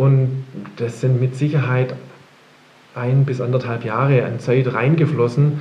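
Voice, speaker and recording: A man speaks at a fairly slow pace with long, frequent pauses, his medium-pitched voice flat and monotone. Audible room echo and noticeable background noise surround him. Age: 50s. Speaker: print company managing director. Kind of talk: interview. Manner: hesitant, many fillers.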